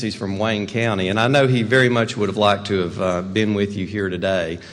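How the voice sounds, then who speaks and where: Fairly even intonation in a Western North Carolina accent, with audible room echo and noticeable background noise. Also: man. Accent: Western North Carolina mountain. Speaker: rural development executive. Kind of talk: keynote speech.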